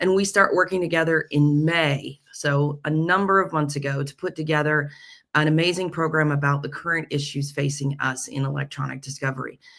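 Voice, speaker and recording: On a very clean recording with a silent background, a woman speaks with a very deep, low voice and fairly even intonation. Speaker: legal tech host discussing case law. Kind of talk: legal case commentary. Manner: formal.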